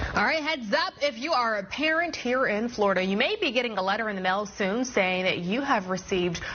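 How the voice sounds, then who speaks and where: A woman talks at a fairly quick pace with lively intonation and a fairly high pitch. Noticeable background noise runs underneath. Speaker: news anchor. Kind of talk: TV news anchor read.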